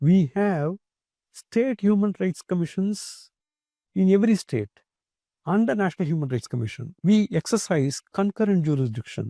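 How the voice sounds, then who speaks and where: A man with a Tamil Indian accent, high pitch, a dark, mellow tone and lively intonation, at a moderate pace, in a dry, close sound with no echo and a very clean recording with a silent background. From Tamil Nadu, India. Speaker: retired judge, human rights commission chair. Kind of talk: interview. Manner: measured, formal.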